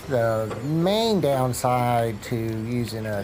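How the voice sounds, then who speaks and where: A man at medium pitch, with audible room echo and noticeable background noise. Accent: American. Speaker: RC crawler hobbyist vlogger. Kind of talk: casual vlog narration.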